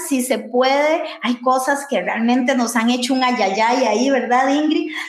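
A woman's high-pitched voice, fairly slow with hardly any pauses, very even in loudness and fairly even in intonation, amid audible room echo and noticeable background noise. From Costa Rica. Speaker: podcast co-host. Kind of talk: casual chat.

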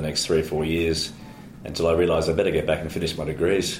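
A man with an Australian accent talks at a very fast pace in a very deep, low voice. His intonation is monotone and flat, and the room echo is audible. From Australia (Brisbane, Queensland). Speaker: lawyer. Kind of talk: interview. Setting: office.

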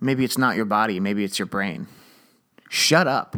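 A man talking at a fairly quick pace, on a very clean recording with a silent background. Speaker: comedy podcast host. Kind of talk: casual comedic monologue. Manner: rambling, halting.

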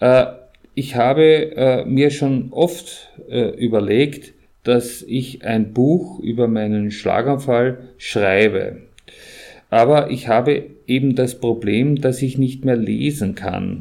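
A man's dark, mellow voice at medium pitch, very slow, with ordinary pitch variation. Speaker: stroke survivor podcast host. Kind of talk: personal testimony. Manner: halting.

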